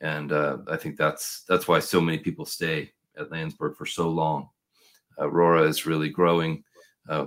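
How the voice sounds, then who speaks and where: This man's voice has a very deep, low pitch and a West Coast US accent. The recording is very clean, with a silent background. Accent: General American, West Coast. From US Pacific Northwest, Portland, Oregon. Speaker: packaging consultant and podcast host. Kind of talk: casual interview.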